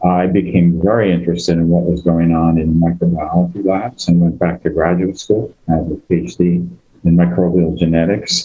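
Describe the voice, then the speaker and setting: Speaking with a Boston accent, a man has a very deep, low pitch. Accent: American (Boston area). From Massachusetts, Greek immigrant neighborhood near Boston. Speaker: biotech executive and scientist. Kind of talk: panel discussion.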